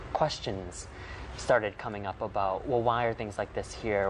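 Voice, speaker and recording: Music plays in the background as a man with an American accent talks at a fairly low pitch. His pace is fairly quick and his intonation fairly even. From United States. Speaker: talk show guest. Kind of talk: panel discussion.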